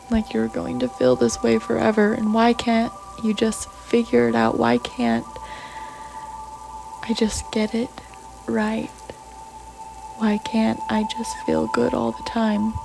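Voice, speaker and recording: Soft-spoken, a woman talks at a very slow pace with long, frequent pauses over noticeable background noise. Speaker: self-help audio creator. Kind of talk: reading aloud.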